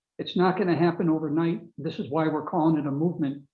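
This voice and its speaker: A man in a Maine accent talks at a fairly high pitch. His intonation stays fairly even. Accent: Maine Yankee. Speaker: author and webinar speaker. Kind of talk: closing remarks at a webinar.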